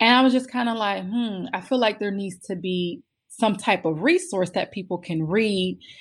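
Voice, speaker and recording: A woman with a plain, everyday voice speaks at a moderate pace, with a medium pitch and ordinary pitch variation over a quiet background. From Pittsburgh, Pennsylvania. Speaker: mental health magazine founder. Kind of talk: interview.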